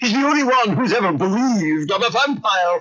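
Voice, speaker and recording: Putting on a character voice, a man talks at a fairly quick pace in a high pitch. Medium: read story.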